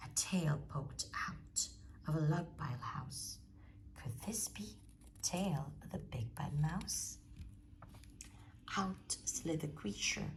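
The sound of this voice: A woman whispers slowly with vocal fry. Her pauses are long and frequent.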